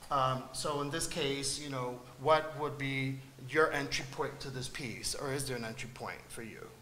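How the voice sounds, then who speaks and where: In a room with audible echo and noticeable background noise, a man with a fairly high pitch speaks at a moderate pace in a flat monotone. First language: Spanish. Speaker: artist on a panel. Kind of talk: panel discussion. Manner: halting, many fillers.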